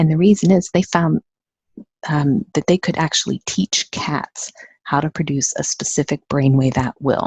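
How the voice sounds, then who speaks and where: A woman with an American accent speaks at a very deep, low pitch, somewhat breathy, with ordinary pitch variation. The sound is dry and close with no echo. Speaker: neurofeedback training company owner. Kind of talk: webinar presentation. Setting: webinar. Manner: fast; animated.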